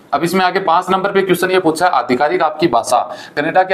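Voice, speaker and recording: A high-pitched male voice at a middling speed, its intonation fairly level. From India. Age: 30s. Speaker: immigration advice YouTuber; presenter. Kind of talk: tutorial. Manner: casual, conversational. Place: studio.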